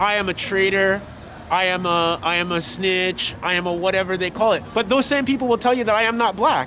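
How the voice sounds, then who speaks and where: Projecting his raised voice at a high pitch, a man talks fairly quickly with ordinary pitch variation and very even loudness. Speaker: activist and commentator. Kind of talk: interview.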